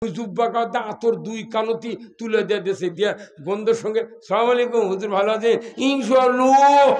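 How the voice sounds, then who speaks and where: Noticeable background noise sits behind a man speaking at an extremely high pitch. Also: fairly even intonation. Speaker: Islamic preacher. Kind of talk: humorous religious sermon.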